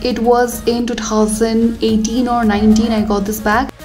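A woman talks at a fairly slow pace while faint music plays behind her. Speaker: art vlogger. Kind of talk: casual vlog chat. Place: hall. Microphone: phone near.

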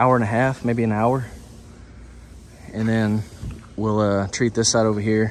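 The talking moves at a moderate pace. Light background noise sits underneath. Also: man. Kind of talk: casual vlog chat. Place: factory. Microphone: phone near.

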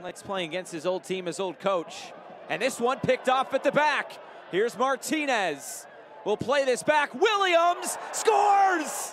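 Over noticeable background noise, a man with an extremely high pitch and an excited tone speaks at a fairly slow pace with very wide pitch swings. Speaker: match commentator. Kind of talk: live sports commentary. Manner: rising excited intensity on goals.

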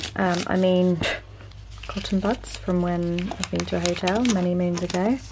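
Noticeable background noise accompanies a woman who keeps a moderate pace. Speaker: home vlogger. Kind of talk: casual vlog chat. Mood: relaxed, chatty. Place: home room.

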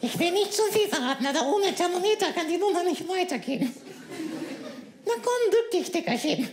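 In a put-on character voice, a man speaks at an extremely high pitch and a fairly quick pace, leaving long, frequent pauses over clear background noise. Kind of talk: comic ventriloquist act. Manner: cheeky, insulting, quick-witted.

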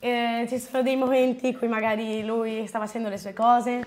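A woman with a plain, everyday voice, fairly high in pitch, at a moderate pace over light background noise. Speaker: host's daughter. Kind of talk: casual Q&A chat. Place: home room.

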